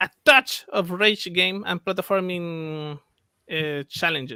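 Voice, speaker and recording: A very slow pace and a bright, sharp tone with a Spanish accent. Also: man, high pitch for a man, ordinary pitch variation, dry, close sound with no echo. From Chile. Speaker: game developer. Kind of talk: interview. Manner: halting.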